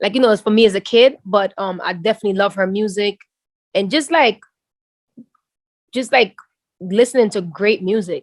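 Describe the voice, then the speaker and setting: In a dry, close recording with no echo, a woman with an American accent speaks at a medium pitch and moderate pace in an animated tone, with ordinary pitch variation and long, frequent pauses. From Jamaica, then the Bronx from age twelve. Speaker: musician. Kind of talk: interview.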